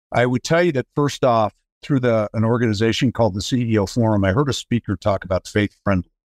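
With an American accent, a man talks very fast at medium pitch, his loudness very even and his pitch variation ordinary, against a quiet background. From US, Colorado (Denver). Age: 60s. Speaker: business executive. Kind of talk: interview.

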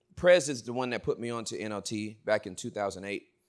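A man with a medium-pitched voice sounds animated at a moderate pace. The recording is very clean, with a silent background. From Inglewood, California. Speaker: preacher. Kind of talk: sermon.

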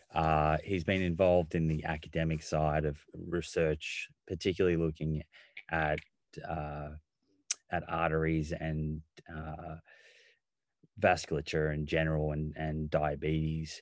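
In an Australian accent, a man talks at a fairly slow pace in a very deep, low pitch, leaving long, frequent pauses. His intonation stays monotone and flat, and the recording is very clean with a silent background. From Australia, Melbourne. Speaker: nutritionist and physiotherapist. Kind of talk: interview.

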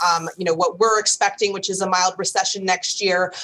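Medium-pitched woman's voice with monotone, flat intonation and noticeable background noise. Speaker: equity strategist. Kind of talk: TV market commentary.

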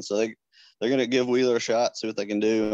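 Over a quiet background, a man talks very fast in a fairly low, monotone voice with flat intonation, the sound dry and close with no echo. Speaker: sports editor. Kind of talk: casual interview.

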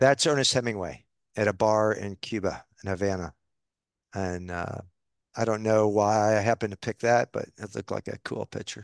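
With an American accent and an ordinary speaking voice, a man of fairly low pitch talks at a moderate pace with fairly even intonation, recorded dry and close with no echo against a quiet background. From upstate New York (Albany). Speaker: bank CEO. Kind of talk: interview conversation.

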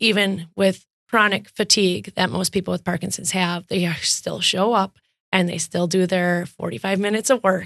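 In a Wisconsin accent, a woman with vocal fry and a medium pitch talks at a moderate pace with ordinary pitch variation, the sound dry and close with no echo. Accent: Upper Midwest (Wisconsin). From Wisconsin, West Bend. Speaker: fitness studio owner. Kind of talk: interview.

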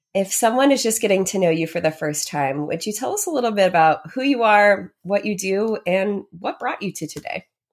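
In an ordinary speaking voice, a woman talks at a fairly quick pace and medium pitch, her intonation lively. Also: very clean recording, silent background. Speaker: podcast host. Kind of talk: casual interview.

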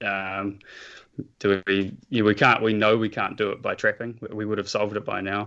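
Over a quiet background, a man with a New Zealand accent speaks at a moderate pace and fairly low pitch. His tone is bright and sharp, his intonation monotone and flat. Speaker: nature photographer and environmental activist. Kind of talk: interview.

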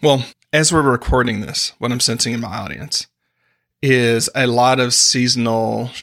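Here is a man with an unremarkable speaking voice and a medium pitch. He talks at a moderate pace in a very clean recording with a silent background. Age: 40s. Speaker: executive coach and author. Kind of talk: casual chat.

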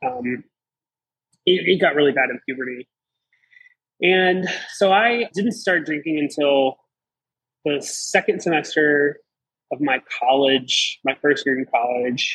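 A man's plain, everyday voice, fairly high in pitch with an American accent and lively intonation, at a fairly slow pace, dry and close with no echo. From Southeastern Virginia. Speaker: recovering alcoholic guest. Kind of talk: testimony.

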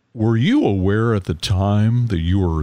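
Pitched fairly low, a man uses a plain, everyday voice and ordinary pitch variation. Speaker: podcast host. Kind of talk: interview.

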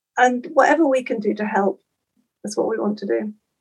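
Vocal fry colors a woman's voice as she talks at a fairly quick pace with lively intonation. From eastern England, Norfolk. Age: 60s. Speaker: endurance athlete and event chaplain. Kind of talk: casual interview.

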